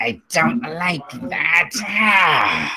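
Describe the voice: A put-on character voice at middle pitch, hissing and growling.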